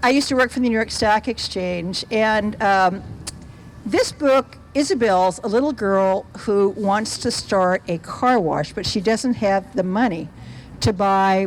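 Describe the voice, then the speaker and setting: Against noticeable background noise, a woman with a medium-pitched voice speaks fairly slowly, with ordinary pitch variation. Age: 70s. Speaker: children's book author. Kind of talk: Q&A talk to schoolchildren. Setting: school event with audience.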